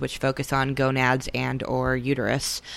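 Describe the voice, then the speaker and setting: Over noticeable background noise, a woman speaks at a fairly slow pace in a very deep, low pitch. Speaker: non-binary community educator. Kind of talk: interview conversation.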